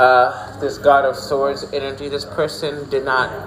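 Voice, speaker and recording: There is noticeable background noise. Over it, a man speaks at a fairly slow pace with a fairly high pitch. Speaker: tarot reader. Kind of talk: tarot reading. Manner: halting.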